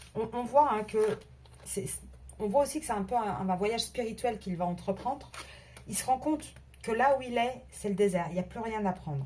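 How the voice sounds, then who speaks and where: A woman speaks with a fairly high pitch and lively intonation. Her pace is moderate. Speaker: tarot card reader. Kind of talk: tarot reading video. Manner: halting, many repetitions.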